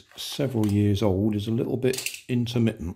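A man's fairly low, dark, mellow voice with vocal fry and fairly even intonation

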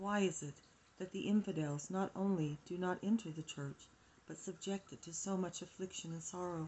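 This woman has a fairly low pitch and a somewhat breathy voice. She talks at a moderate pace with fairly even intonation. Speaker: home reader of devotional text. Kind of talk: reading aloud. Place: home room. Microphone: phone near.

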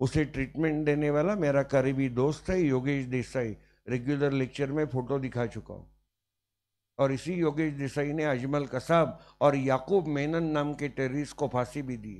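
At a fairly slow pace, a man speaks with a fairly high pitch. His loudness swings a lot. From Maharashtra, India. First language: Marathi (speaking Hindi). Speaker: teacher; law teacher. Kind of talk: lecture. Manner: animated. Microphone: handheld.

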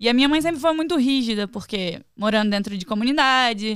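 At a moderate pace, a woman speaks against a quiet background, the sound dry with no echo. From Rio de Janeiro state, Brazil. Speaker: professional wrestler; podcast guest. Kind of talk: casual chat. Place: studio. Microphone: studio mic.

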